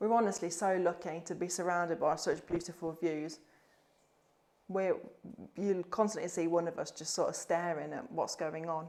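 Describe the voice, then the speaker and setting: At a moderate pace, a woman with an English accent talks in a fairly low pitch and fairly even intonation. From England. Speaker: vlogger. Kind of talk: house tour vlog. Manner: casual, hesitant with fillers; loud.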